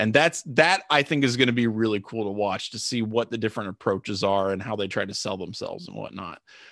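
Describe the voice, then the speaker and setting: On a very clean recording with a silent background and a dry, close sound with no echo, a man with a fairly low pitch and ordinary pitch variation talks at a very fast pace with hardly any pauses and big swings in loudness. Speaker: sports podcast co-host. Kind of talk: casual chat. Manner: animated, laughs often.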